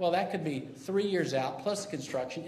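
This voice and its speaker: A high-pitched man at a fairly quick pace, with audible room echo and noticeable background noise. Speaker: citizen activist. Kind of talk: public testimony. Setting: city council chamber. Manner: loud; halting, many fillers and restarts.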